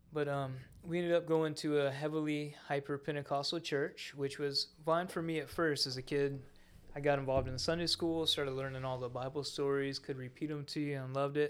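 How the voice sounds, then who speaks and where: With an American accent, a man talks at a fairly quick pace in a fairly high pitch, his intonation monotone and flat. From Florida Panhandle, US South. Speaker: church member sharing testimony. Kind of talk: testimony. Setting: studio with microphones.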